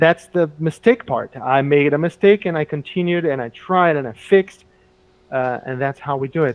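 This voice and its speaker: Speaking with a Portuguese accent, a man uses a fairly high pitch and ordinary pitch variation, leaving long, frequent pauses. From Brazil. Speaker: English teacher. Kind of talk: casual chat. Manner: halting.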